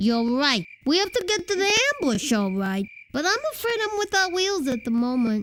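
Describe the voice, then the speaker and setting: This is a put-on character voice with a high pitch. Its pitch swings very widely. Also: moderate pace. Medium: video game. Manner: sardonic, blunt.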